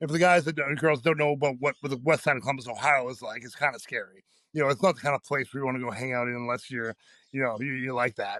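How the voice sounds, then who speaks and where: Loud and very fast, a man speaks at medium pitch in a bright, sharp tone with fairly even intonation, the sound dry and close with no echo over a quiet background. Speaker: powerlifter. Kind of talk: casual chat.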